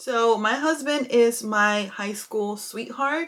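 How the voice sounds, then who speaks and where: A woman's fairly high voice shows ordinary pitch variation on a very clean recording with a silent background. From California (moved from Mexico at seven). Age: 20s. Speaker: beauty vlogger. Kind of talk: casual get-ready-with-me vlog chat. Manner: casual, chatty.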